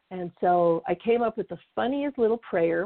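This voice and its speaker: This woman has an unremarkable speaking voice at medium pitch, talking at a moderate pace. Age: 50s. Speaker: career coach and company founder. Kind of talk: interview.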